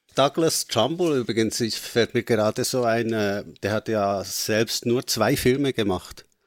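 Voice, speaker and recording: A man speaks at a very slow pace with a Swiss German accent and a medium pitch. His pitch varies in an ordinary way, on a very clean, dry, close recording with a silent background and no echo. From Switzerland. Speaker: film podcast co-host. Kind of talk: casual chat.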